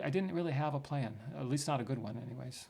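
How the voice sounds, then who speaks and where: Audible room echo surrounds a man who talks very fast at a fairly high pitch, with ordinary pitch variation. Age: 60s. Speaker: retiree turned investor. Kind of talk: interview. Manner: halting.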